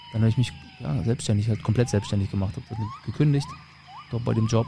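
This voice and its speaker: A man rushes along at a very fast pace amid noticeable background noise. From northern Germany, Mecklenburg (Rostock/Schwerin). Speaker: podcast host, tour guide. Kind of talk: casual chat.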